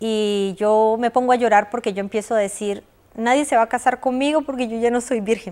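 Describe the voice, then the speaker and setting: The woman's intonation is fairly even. She keeps up a fairly quick pace. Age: 40s. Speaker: abuse survivor. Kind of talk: testimony. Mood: emotional personal testimony. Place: studio. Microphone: lapel.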